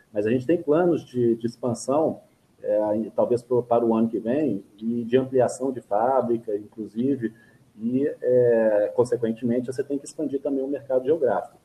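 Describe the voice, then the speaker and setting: With a normal speaking voice, a man talks at a moderate pace and medium pitch, his intonation fairly even. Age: 50s. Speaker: adventure racer and craft brewery owner. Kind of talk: casual interview.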